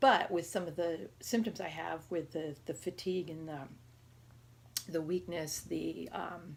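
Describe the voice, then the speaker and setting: Her voice is fairly low-pitched, with vocal fry. The woman speaks at a fairly slow pace. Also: ordinary pitch variation. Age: 30s. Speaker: vlogger documenting her illness. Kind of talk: casual video diary. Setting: sitting in a chair at home. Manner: halting, many fillers.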